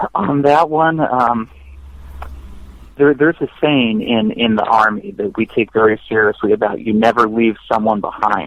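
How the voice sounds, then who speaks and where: Moderate pace, medium male pitch and ordinary pitch variation from a man with an American accent. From United States. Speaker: war veteran. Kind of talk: interview. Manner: halting.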